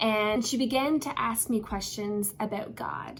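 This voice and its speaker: Recorded with audible room echo, a woman with a Newfoundland accent speaks at a fairly high pitch with ordinary pitch variation. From Newfoundland, Canada. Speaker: pastor. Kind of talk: devotional talk.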